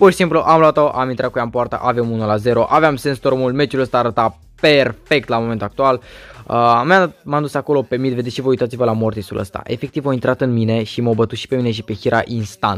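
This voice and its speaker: Music plays in the background as a man speaks at a fairly quick pace. His pitch is medium, with ordinary variation. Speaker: gaming youtuber. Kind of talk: gameplay commentary. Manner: halting.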